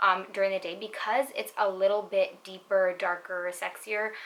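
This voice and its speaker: A woman talks quietly at a moderate pace. Her voice is medium in pitch, with a bright, sharp tone. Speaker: beauty YouTuber, perfume reviewer. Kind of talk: casual product review. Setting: at home at night.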